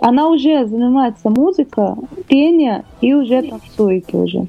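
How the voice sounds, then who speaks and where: A woman's high-pitched voice with a Portuguese accent, ordinary pitch variation and a fairly slow pace. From Brazil, Rio de Janeiro. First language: Portuguese (speaking Russian). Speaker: singer. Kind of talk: interview. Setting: studio. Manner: halting.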